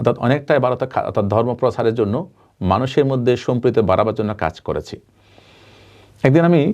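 A man speaks in a dark, mellow tone at a medium pitch with ordinary pitch variation. He has a slight Chittagong accent, and the background is quiet. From Bangladesh, Chittagong. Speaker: Buddhist monk. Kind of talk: interview.

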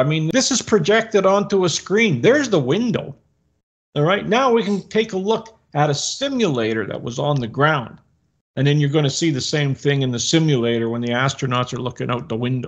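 Against a quiet background, a man talks at a moderate pace with very wide swings in pitch. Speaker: co-host of discussion. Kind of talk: commentary. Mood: skeptical, critical. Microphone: webcam.

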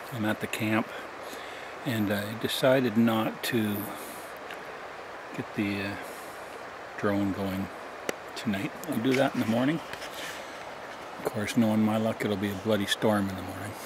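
Noticeable background noise sits behind a man speaking at a moderate pace with long, frequent pauses. The sound is dry with no echo. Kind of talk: casual vlog chat. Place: forest. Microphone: phone near.

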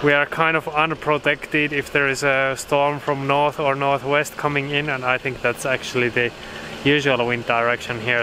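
A woman speaks at a moderate pace in a very deep, low voice with monotone, flat intonation. The sound is dry with no echo, though background noise is noticeable. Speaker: sailing vlogger. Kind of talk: casual vlog chat. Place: waterside. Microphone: phone near.

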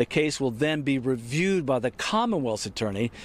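This is a normal speaking voice from a man with a medium pitch, talking at a fairly quick pace with lively intonation. The sound is dry, with no echo. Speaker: TV news reporter. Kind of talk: TV news report. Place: street. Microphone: handheld.

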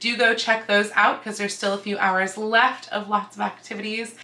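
Here a woman is speaking. Her pace is fairly quick. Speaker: costuming vlogger. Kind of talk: casual vlog chat. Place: home room.

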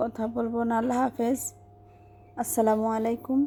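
The woman's pitch sits fairly high. Her intonation is monotone and flat. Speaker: vlogger. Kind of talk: casual vlog narration. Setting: at home with caged quails.

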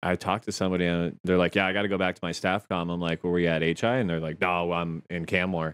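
A man with a Canadian accent speaks at a very fast pace with hardly any pauses. His very deep, low voice has a monotone, flat intonation. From Chatham-London area, southwestern Ontario, Canada; Ontario. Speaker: podcast co-host. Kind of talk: casual chat. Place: home room. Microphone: studio mic.

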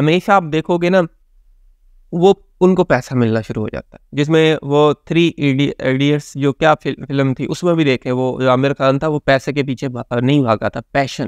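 The speech moves at a fairly slow pace with ordinary pitch variation. The sound is dry with no echo, over a quiet background. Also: man, fairly high pitch for a man. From Pakistan. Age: young. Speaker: motivational speaker and counsellor; motivational speaker. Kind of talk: motivational talk to camera. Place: home room.

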